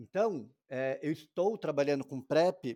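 The man's tone is dark and mellow, his pitch fairly high, with very wide pitch swings. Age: 40s. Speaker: infectious disease doctor. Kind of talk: interview.

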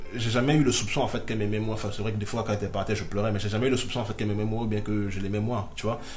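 Over music in the background, a man with a fairly low pitch speaks at a very fast pace with hardly any pauses. His intonation stays fairly even. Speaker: podcast guest. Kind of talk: personal testimony. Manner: halting.

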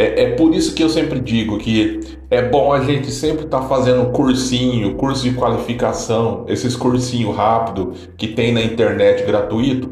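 Noticeable background noise and audible room echo around a man speaking at a moderate pace. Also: medium pitch for a man, ordinary pitch variation. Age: 40s. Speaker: podcast host. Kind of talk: casual monologue.

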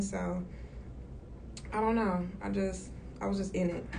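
A woman with an American accent is heard over noticeable background noise and audible room echo. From Chicago suburbs, US Midwest. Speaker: music manager. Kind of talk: casual interview. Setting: in-person interview.

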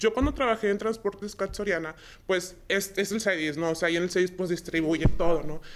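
A woman has an unremarkable speaking voice at a medium pitch. She talks at a fairly quick pace. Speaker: logistics dispatcher. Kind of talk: casual interview chat.

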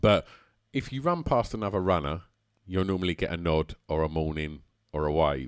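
In an Essex accent, a man talks at a moderate pace with a very deep, low pitch, ordinary pitch variation and long, frequent pauses, all on a very clean recording with a silent background. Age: 40s. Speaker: musician and club runner. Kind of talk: casual chat. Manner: halting.

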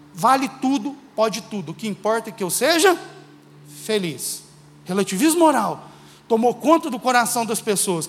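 Speaking at a moderate pace, a man with an extremely high voice makes very wide pitch swings over noticeable background noise. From Minas Gerais, Brazil (Uberlândia). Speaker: guest preacher. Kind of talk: sermon. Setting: church.

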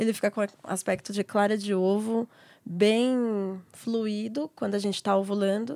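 A woman's dark, mellow voice at a medium pitch, fairly even in intonation and fairly slow in pace, in a dry, close sound with no echo on a very clean recording with a silent background. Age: 20s. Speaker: midwife. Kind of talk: casual chat.

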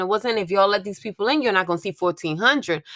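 A woman's voice at medium pitch, bright and sharp in tone, animated. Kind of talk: pep talk. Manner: animated, loud, bossy and encouraging, with profanity and hype-man energy.

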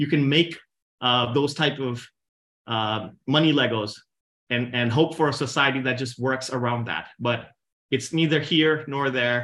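A man with a normal speaking voice, fairly even intonation and a moderate pace. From India, moved to the US as a teen. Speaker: presenter on crypto. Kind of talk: presentation with discussion. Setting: online video meeting with screen share.

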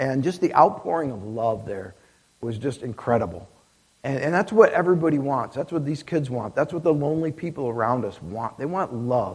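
Somewhat breathy, a man talks with an Upstate New York accent. His pitch is fairly high and his pace fairly quick. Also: lively intonation. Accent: Upstate New York American. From upstate New York (near Syracuse). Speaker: missionary. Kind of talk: missionary talk at a church service. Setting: church.

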